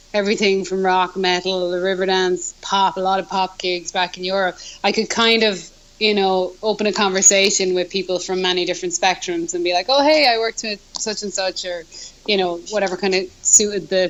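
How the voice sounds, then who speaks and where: With an Irish accent, a woman talks at a fairly quick pace and medium pitch over noticeable background noise. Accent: Irish brogue. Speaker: musician. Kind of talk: casual chat. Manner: animated.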